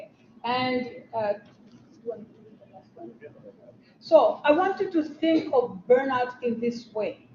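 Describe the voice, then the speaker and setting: A non-native accent, a fairly slow pace, big swings in loudness and lively intonation. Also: woman, high pitch for a woman. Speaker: workshop presenter. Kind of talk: workshop presentation.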